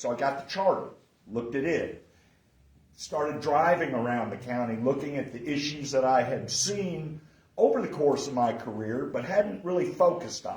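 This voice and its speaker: Room echo can be heard. Pitch moves up and down in an ordinary way. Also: man, fairly high pitch for a man, moderate pace. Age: 60s. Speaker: political candidate. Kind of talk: candidate forum speech. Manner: loud.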